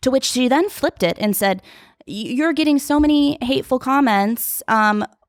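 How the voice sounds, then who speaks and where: The woman's pitch is high and her intonation lively. Her loudness stays very even on a very clean recording with a silent background. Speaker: reality TV contestant. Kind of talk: casual chat. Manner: talkative, fast.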